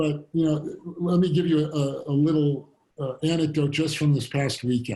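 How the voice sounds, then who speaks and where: A man's fairly high, somewhat breathy voice with a dark, mellow tone, fairly even intonation and a moderate pace. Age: 60s. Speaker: fintech company founder and CEO. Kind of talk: fireside chat interview.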